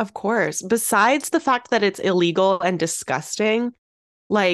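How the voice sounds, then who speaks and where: A woman's medium-pitched voice, a normal speaking voice, at a moderate pace. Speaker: podcast host. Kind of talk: casual chat.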